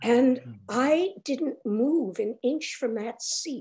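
A woman speaks with lively intonation and vocal fry. The background is quiet. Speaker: interviewee. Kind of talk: interview answer. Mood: warm, animated storytelling. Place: home room. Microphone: video call.

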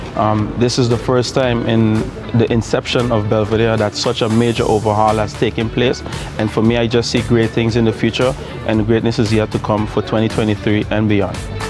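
Over clear background music, the voice holds a flat monotone at very even loudness, with a dry sound and no echo. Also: man, moderate pace. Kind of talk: interview statement. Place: street.

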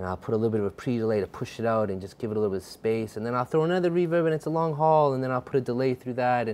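A man talking very fast with lively intonation and hardly any pauses. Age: 20s. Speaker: music producer and songwriter; guest. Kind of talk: casual chat. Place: studio. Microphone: lapel.

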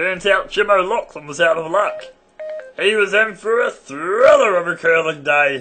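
Over faint background music, a man puts on a high-pitched character voice. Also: moderate pace. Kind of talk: comic satirical monologue.

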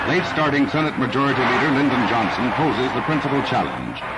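Noticeable background noise sits under a man speaking very fast in a medium pitch with ordinary pitch variation. His tone is dramatic. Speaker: newsreel narrator. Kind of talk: 1960 newsreel narration. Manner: brisk, clipped, authoritative; dramatic, formal, urgent.

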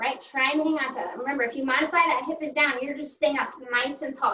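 The room echo is audible as a woman speaks with a high pitch. Her pitch varies in an ordinary way. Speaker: fitness instructor. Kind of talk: workout class instruction. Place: home room. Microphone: video call.

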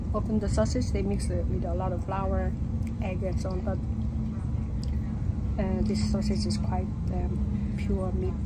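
Loud background noise fills the recording. Through it, a woman talks at a moderate pace. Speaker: travel vlogger. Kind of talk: casual vlog chat. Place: train. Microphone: phone near.

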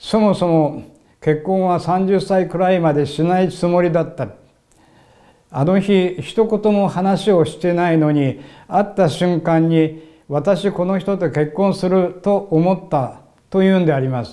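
A man with a high voice and a dark, mellow tone speaks at a fairly slow pace with fairly even intonation over a quiet background. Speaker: religious minister and lecturer; religious minister, lecturer. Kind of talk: sermon-style religious talk. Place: studio.

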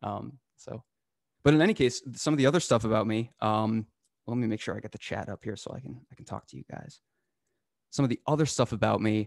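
An American-accented man speaks fairly quickly at a medium pitch with vocal fry, ordinary pitch variation and big swings in loudness, pausing long and often. The sound is dry with no echo, over a quiet background. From northern Massachusetts. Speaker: cybersecurity instructor. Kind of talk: live hands-on tutorial. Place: home room. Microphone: studio mic.

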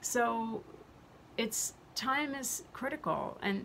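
Light background noise sits behind the speech. A woman speaks with lively intonation. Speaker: health vlogger. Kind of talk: casual vlog chat. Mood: earnest, somewhat angry. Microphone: phone near.

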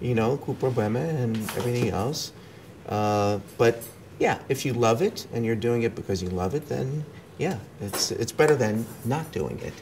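Fairly slow, somewhat breathy speech over light background noise. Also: man, ordinary pitch variation. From New York, USA (left Romania as a child). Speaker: actor and film producer; actor. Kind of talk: casual interview; interview answer. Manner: code-switching, hesitant. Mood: relaxed, reflective. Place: home room. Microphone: lapel.

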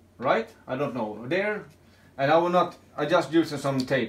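This man has a Swedish accent and a fairly high pitch. He speaks at a moderate pace, with light background noise. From Sweden. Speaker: YouTuber, scrap metal hobbyist; YouTuber. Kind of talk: casual vlog talk. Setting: at home. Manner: halting. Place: home room. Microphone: phone near.

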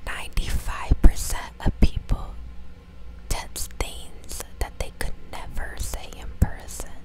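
Very slow whispering from a woman. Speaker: ASMR creator. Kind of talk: ASMR fact reading. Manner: whispered; soft, close to the microphone. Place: home room. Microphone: lapel.

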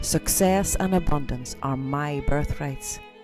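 A woman's calm, soothing tone with an Irish accent at a very slow pace, music in the background. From Ireland. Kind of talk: guided affirmation meditation. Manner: calm, slow, soothing.

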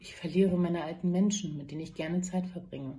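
Somewhat breathy and dark, mellow in tone, a woman speaks at a very deep, low pitch and a fairly quick pace. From Berlin, Germany. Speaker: nurse. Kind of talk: personal testimony monologue. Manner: hesitant with many fillers. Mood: upset, earnest appeal. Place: office. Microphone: phone near.

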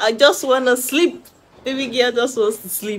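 This is a woman speaking at a moderate pace. Light background noise is present. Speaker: vlogger. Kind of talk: casual vlog chat. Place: home room. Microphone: phone near.

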